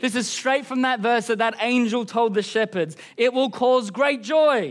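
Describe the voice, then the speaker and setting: The speaker has an Australian accent, heard on a very clean recording with a silent background. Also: man. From Queensland, Australia. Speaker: pastor. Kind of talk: sermon. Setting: church service.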